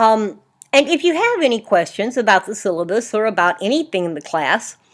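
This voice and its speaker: On a very clean recording with a silent background, a woman speaks at a moderate pace. Her pitch is fairly high, with very wide swings. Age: 60s. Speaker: college English instructor. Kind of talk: recorded lecture. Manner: casual, conversational.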